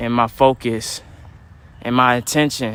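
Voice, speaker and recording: A man speaks at a medium pitch with a monotone, flat intonation. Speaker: livestreamer vlogger. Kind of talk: casual livestream monologue while walking. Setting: outdoors on a trail in rain. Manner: halting, self-described stuttering.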